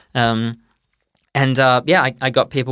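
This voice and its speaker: With an Australian accent, the speaker talks at a moderate pace in monotone, flat intonation on a very clean recording with a silent background. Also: man. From Perth, Western Australia. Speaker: doctoral researcher in anthropology. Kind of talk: interview.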